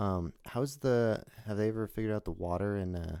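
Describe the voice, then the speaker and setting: The voice has a dark, mellow tone and ordinary pitch variation, in a Californian accent. The recording is very clean, with a silent background. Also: man. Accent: Californian American. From Los Angeles. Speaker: podcast host and acrobat. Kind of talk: podcast interview. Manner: casual.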